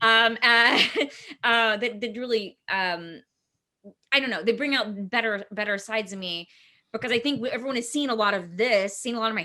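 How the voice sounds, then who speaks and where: In an American accent, the speaker has a bright, sharp tone, ordinary pitch variation, and a fairly quick pace. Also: woman. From East Texas. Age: 30s. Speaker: filmmaker and actor. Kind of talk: casual interview. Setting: video call.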